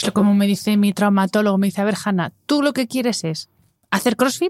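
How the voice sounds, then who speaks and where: On a very clean recording with a silent background, a woman with a normal speaking voice talks at a moderate pace with medium pitch and ordinary pitch variation. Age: 40s. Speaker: podcast host, wellness communicator. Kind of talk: interview.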